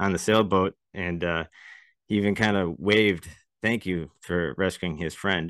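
With an American accent, the speaker moves at a moderate pace with fairly even intonation over a quiet background. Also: man. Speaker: podcast co-host. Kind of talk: casual chat.

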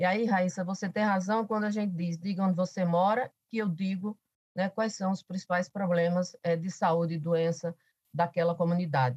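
With a Paraíba accent, a woman at medium pitch speaks at a moderate pace, somewhat breathy and with fairly even intonation, in a dry, close recording with no echo. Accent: Paraíba northeastern Brazilian. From Paraíba, Brazilian Northeast (Alto Sertão). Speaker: professor and politician. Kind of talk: podcast interview.

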